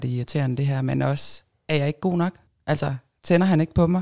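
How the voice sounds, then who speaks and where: Her intonation fairly even, a woman speaks in a very deep, low voice with a dark, mellow tone. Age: 40s. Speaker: swinger guest. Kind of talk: casual chat.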